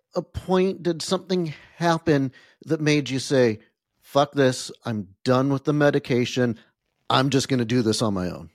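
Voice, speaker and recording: Recorded very cleanly against a silent background with a dry, close sound and no echo, a man speaks in an ordinary speaking voice at a moderate pace, fairly high in pitch with lively intonation. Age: 40s. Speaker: podcast host. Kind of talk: casual interview.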